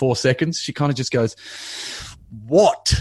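Against a quiet background, a man with an Australian accent speaks with ordinary pitch variation. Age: 40s. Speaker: comedian. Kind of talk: casual chat. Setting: remote call from home office.

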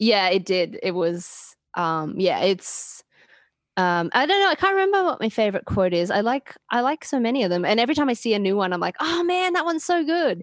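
With an Australian accent, a woman speaks fairly quickly at a fairly high pitch, her pitch swinging very widely while her loudness stays very even. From Queensland, Australia. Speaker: podcast guest. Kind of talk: casual chat.

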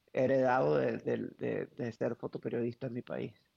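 A man's voice, dry and close with no echo. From Venezuela, Caracas. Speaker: wedding photographer, former photojournalist. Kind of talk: interview conversation. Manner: halting, many repetitions.

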